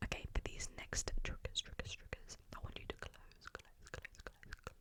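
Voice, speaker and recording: The voice is a whisper at a moderate pace. Background noise is clearly noticeable. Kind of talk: interactive ASMR game for sleep. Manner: whispered.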